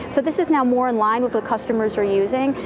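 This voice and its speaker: This is a woman speaking. Noticeable background noise runs behind her. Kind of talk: interview answer. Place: studio. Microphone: lapel.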